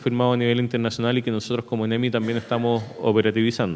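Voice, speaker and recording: This man talks at a medium pitch. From Chile, La Serena; Chile. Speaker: emergency management official; presenter. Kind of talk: conference presentation. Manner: hesitant, frequent filler eh. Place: hall. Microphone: podium.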